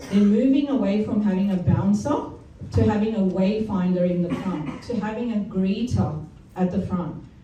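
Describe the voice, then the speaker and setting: Over noticeable background noise and audible room echo, a woman talks at a moderate pace with medium pitch and ordinary pitch variation. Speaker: retail industry presenter. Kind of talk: business presentation.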